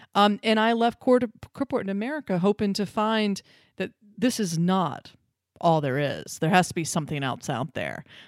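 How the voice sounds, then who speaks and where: An unremarkable speaking voice moves at a moderate pace with lively intonation. The sound is dry and close with no echo, on a very clean recording with a silent background. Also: woman, medium pitch for a woman. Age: 40s. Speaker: podcast host. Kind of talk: interview conversation.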